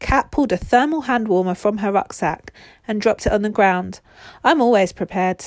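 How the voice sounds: The speaker reads in a natural reading voice.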